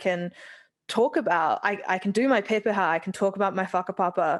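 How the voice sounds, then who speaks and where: The woman's voice has a medium pitch with ordinary variation. She talks at a fairly quick pace against a quiet background. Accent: New Zealand. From New Zealand. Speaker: scientist giving vote of thanks. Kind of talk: vote of thanks speech. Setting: live event with audience. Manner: casual, hesitant with fillers.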